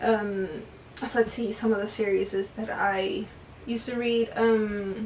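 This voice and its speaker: This woman's voice is fairly high-pitched, with fairly even intonation and a fairly slow pace. Noticeable background noise runs underneath. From US. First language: Spanish. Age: 20s. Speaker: booktuber. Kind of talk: casual chat. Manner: casual with fillers.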